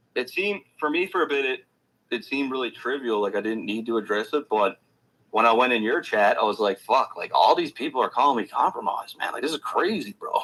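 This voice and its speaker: With a Newfoundland accent, a man talks at a very fast pace. His medium-pitched voice has lively intonation. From Newfoundland, Canada. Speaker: rap commentary youtuber. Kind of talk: casual interview chat.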